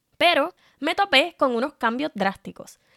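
Recorded very cleanly against a silent background, a woman talks at a moderate pace with lively intonation in a dry, close sound with no echo. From Puerto Rico. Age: 30s. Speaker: digital marketing podcaster. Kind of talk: solo podcast monologue.

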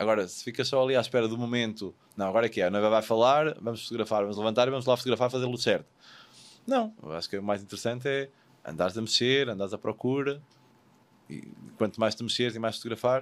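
Pausing long and often, a man with a medium-pitched voice speaks at a very fast pace. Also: ordinary pitch variation. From Portugal. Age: 40s. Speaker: wedding photographer. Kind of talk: casual interview. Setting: studio.

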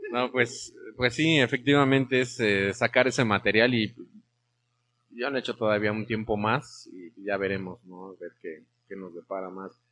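Bright, sharp tone from a man of medium pitch, fairly slow, with ordinary pitch variation and big swings in loudness. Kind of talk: interview. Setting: studio, streamed live on Facebook.

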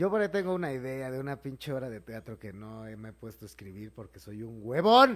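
At a fairly quick pace with hardly any pauses, the voice makes very wide pitch swings and big swings in loudness. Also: man, medium pitch for a man. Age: 30s. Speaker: comedian. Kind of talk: casual chat. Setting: live stream. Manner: animated.

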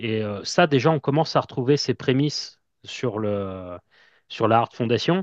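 A man with an ordinary speaking voice talks at a fairly slow pace and medium pitch, in a dry, close sound with no echo and a quiet background. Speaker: wrestling fan podcaster. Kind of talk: interview.

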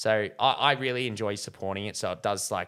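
A man's medium-pitched voice with an Australian accent, very fast pace and bright, sharp tone, on a very clean recording with a silent background. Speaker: film reviewer. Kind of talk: casual video movie review. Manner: dry humor, hesitant with fillers.

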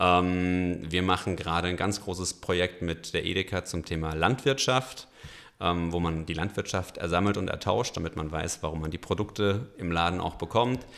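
A man with a very deep, low voice speaks at a moderate pace with ordinary pitch variation in a very clean recording with a silent background. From Franconia, Germany. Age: 30s. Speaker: company founder. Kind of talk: interview.

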